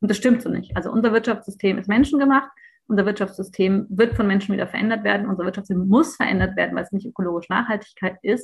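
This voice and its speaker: Medium in pitch and marked by vocal fry, a woman's voice races along at a very fast pace. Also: ordinary pitch variation. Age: 30s. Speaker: think tank founder and economist activist. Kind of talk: podcast interview.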